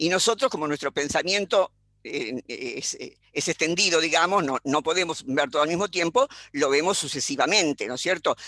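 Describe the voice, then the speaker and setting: In a dry, close recording with a quiet background and no echo, a woman with a Rioplatense accent speaks at a moderate pace, her fairly low voice bright and sharp in tone with lively intonation. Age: 80s+. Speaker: philosopher. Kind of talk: panel discussion. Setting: video call.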